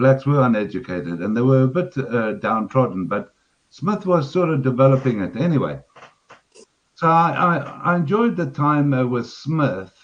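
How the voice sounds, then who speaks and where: This man speaks with a Zimbabwean accent, his pitch swinging very widely. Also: medium pitch for a man, moderate pace. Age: 60s. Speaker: caller on live stream. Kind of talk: casual chat. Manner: halting.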